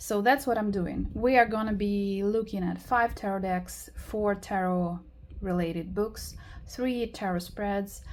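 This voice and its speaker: Very slow and somewhat breathy, a woman talks at medium pitch. Her intonation stays fairly even. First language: not English. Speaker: tarot YouTuber. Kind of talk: casual video tutorial. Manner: hesitant, many fillers.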